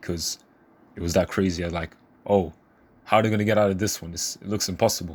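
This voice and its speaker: A quiet man speaks with a very deep, low pitch. His tone is enthusiastic. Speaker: manga reviewer. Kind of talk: casual review talk. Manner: casual, enthusiastic.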